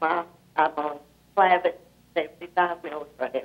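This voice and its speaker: A woman with an American accent speaks with fairly even intonation. Music plays in the background. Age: 80s+. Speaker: caller. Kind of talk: call-in question. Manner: halting.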